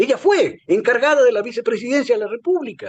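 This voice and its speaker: A man's voice climbs to an extremely high pitch. It swings very widely up and down. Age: 60s. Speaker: political commentator. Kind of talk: political analysis discussion. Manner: halting, repeats words.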